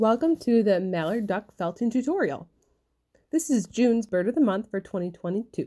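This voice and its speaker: Over a quiet background, a woman with a fairly high pitch speaks at a moderate pace. Her tone is dark and mellow, and her intonation is lively. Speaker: felting crafter and kit seller. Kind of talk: craft tutorial narration.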